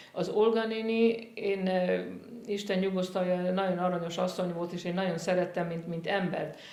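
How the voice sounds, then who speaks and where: Audible room echo and noticeable background noise surround a woman speaking at a moderate pace with monotone, flat intonation. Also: medium pitch for a woman. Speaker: opera singer. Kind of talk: interview reminiscence. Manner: halting, many repeated words.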